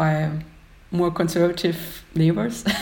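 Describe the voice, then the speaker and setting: A woman speaks in a German accent with a dark, mellow tone, a fairly low pitch and a somewhat breathy quality. Her intonation stays monotone and flat at a moderate pace. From Austria, Upper Austria. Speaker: graphic designer. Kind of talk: casual chat. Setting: video call.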